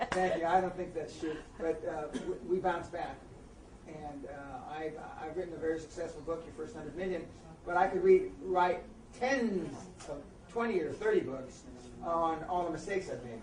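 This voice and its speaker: With an American accent, the speaker leaves long, frequent pauses over noticeable background noise. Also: moderate pace. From US, East Los Angeles. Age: 60s. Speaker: motivational speaker and author. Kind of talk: interview.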